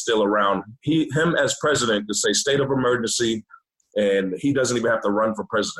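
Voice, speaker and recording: A man with an American accent talks at a fairly quick pace in an ordinary speaking voice, medium in pitch with ordinary pitch variation. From Boston, Massachusetts. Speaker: chef, army veteran. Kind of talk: casual chat. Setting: video call.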